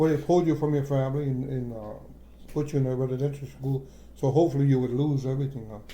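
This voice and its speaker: The voice has a dark, mellow tone and an American accent. There is audible echo in the room. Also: man. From Akwesasne Mohawk reserve, New York/Canada border. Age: old. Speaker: traditional maple sugar producer. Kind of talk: oral history interview. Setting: kitchen table at home. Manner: halting, frequent repetitions and fillers.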